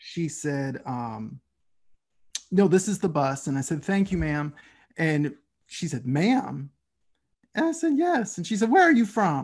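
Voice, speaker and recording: With a Southern US accent, a man speaks at a fairly high pitch and a fairly slow pace, with very wide pitch swings and long, frequent pauses. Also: quiet background. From US South, Tennessee (Nashville). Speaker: podcast host. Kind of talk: interview conversation.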